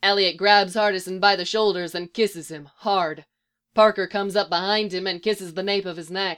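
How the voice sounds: A natural reading voice with fairly even intonation comes through over a quiet background.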